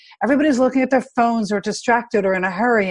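A woman with a plain, everyday voice talks at a fairly high pitch with ordinary pitch variation. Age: 50s. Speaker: life coach. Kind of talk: storytelling in interview.

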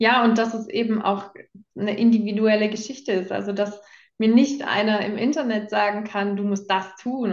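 A woman talks in an ordinary speaking voice at medium pitch, her intonation fairly even. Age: 20s. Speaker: coaching client sharing her experience. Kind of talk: testimonial interview.

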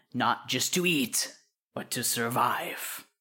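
A put-on character voice, raspy and growling, delivers lines in a menacing tone at a fairly slow pace on a very clean recording with a silent background. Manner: gruff, menacing.

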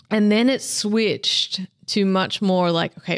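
The sound is dry and close with no echo as a woman speaks with fairly even intonation. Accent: Australian. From Australia, Melbourne. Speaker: meat specialist and seasoning company founder. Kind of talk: interview. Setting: in-person at an industry meeting.

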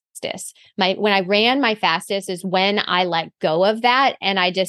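Speaking with a plain, everyday voice, a woman keeps a medium pitch, ordinary pitch variation and a fairly slow pace. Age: 40s. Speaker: running coach. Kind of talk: casual chat.

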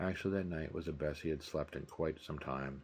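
A man talks with vocal fry and fairly even intonation. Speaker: podcast host and novelist. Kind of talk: literary audiobook reading, steady narrator's delivery of novel chapters. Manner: measured, even-paced, storytelling tone; clear, formal and expository.

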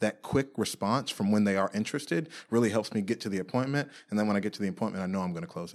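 Speaking very fast with hardly any pauses, a man uses a fairly low pitch and ordinary pitch variation, with an American accent. The recording is very clean, the background silent. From Washington DC area (Silver Spring, Maryland). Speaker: realtor. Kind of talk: interview.

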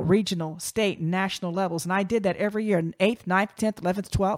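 A woman with an American accent talks at a very fast pace in an animated tone. The sound is dry and close, with no echo. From Virginia. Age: 50s. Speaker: podcast host, communications company founder. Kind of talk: solo podcast monologue.

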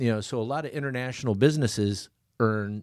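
On a very clean recording with a silent background, a man with an American accent speaks fairly quickly in a plain, everyday voice with ordinary pitch variation. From Michigan. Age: 50s. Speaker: barter franchise owner. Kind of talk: podcast interview.

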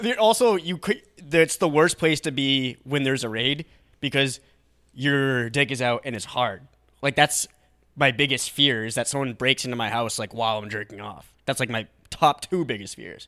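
Man with a bright, sharp tone, lively intonation and moderate pace. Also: medium pitch for a man. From New Hampshire. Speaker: comedy podcast co-host. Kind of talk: casual chat.

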